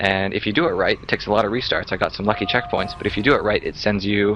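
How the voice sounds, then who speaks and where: Noticeable background noise under a man's fairly low voice. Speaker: speedrunner commentator. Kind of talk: game commentary. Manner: halting, with fillers.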